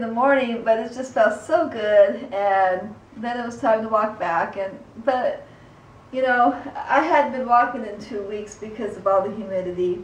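At a fairly slow pace, a woman speaks with ordinary pitch variation and big swings in loudness, with audible room echo. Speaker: vlogger. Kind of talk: casual vlog chat. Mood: calm, relaxed. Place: home room.

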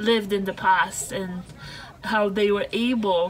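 A woman at a fairly slow pace with ordinary pitch variation over light background noise. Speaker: travel vlogger. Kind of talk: casual vlog chat. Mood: cheerful, amused. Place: car. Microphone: phone near.

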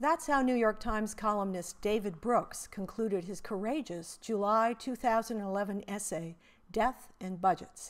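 Using a normal speaking voice, a woman talks at a fairly high pitch and a moderate pace with ordinary pitch variation. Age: 60s. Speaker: essayist presenting her own writing. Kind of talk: reading aloud.

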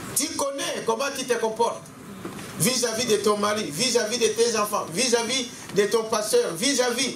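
A man speaks at a moderate pace in a high pitch. Faint background noise sits underneath.

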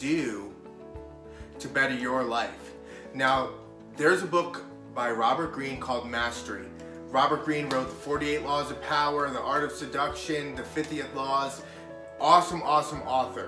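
Clear music sounds behind a man speaking. He keeps a moderate pace with ordinary pitch variation. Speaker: motivational vlogger. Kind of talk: casual vlog chat. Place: home room. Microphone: camera far.

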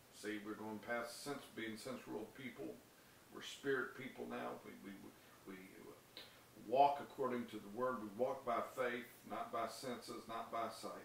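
A man speaks at a fairly slow pace. Audible room echo and light background noise surround him. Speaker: preacher. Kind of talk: sermon with scripture reading and prayer; fervent prayer, declaimed aloud with rising devotional intensity. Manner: earnest, impassioned, urgent; rhythmic, building cadence with repeated phrases. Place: home room.

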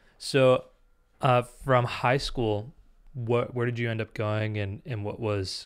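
Against a quiet background, a man speaks at a fairly slow pace with fairly even intonation. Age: 20s. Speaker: podcast interviewer. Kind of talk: interview. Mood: relaxed, curious. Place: home room. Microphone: studio mic.

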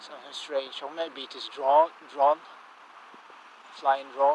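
With a Russian accent, a man talks over light background noise, the sound dry with no echo. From Russia, Engels. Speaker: amateur vlogger. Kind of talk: casual vlog narration walking at night. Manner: hesitant, halting non-native English. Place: street. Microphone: phone near.

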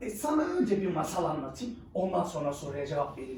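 With a dark, mellow tone, the speaker moves at a fairly quick pace through very wide pitch swings, and room echo is audible.

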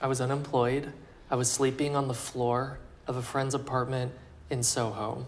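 A man talks at a fairly quick pace with an American accent. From Texas (Plano); Texas. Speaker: fashion designer; interviewee. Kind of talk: interview. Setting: couture house salon, Paris. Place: home room. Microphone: lapel.

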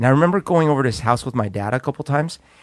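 This is a man speaking. He has a Spanish accent. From Colombia. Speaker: podcast co-host. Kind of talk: casual chat.

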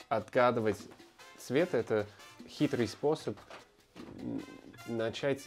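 With clear music in the background, a man with an American accent speaks at a very slow pace, with long, frequent pauses and ordinary pitch variation. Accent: American accent in Russian. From Colorado, USA. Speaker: actor. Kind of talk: interview answer. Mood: warm, reflective.

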